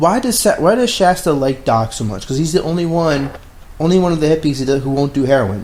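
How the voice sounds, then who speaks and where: Against noticeable background noise, a man talks at a very fast pace with a fairly high pitch and lively intonation. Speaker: film podcast co-host. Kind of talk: casual chat.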